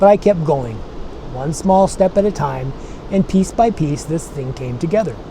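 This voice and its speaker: A man at a moderate pace with ordinary pitch variation, over noticeable background noise. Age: 60s. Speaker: tech explainer channel host. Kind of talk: scripted channel introduction. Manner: friendly, conversational.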